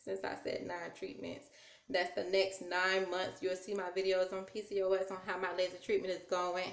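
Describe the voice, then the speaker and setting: A woman speaks with an American accent. The room echo is audible. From US South. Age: 30s. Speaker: YouTuber. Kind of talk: vlog. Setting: recording at home on tablet. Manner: casual, chatty. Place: home room. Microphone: phone near.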